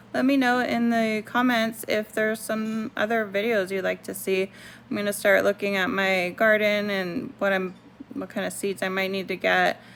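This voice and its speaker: Mumbling at a moderate pace, a woman talks at a medium pitch with fairly even intonation. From Puerto Rico. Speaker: homesteading YouTuber. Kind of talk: casual tutorial. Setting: at home.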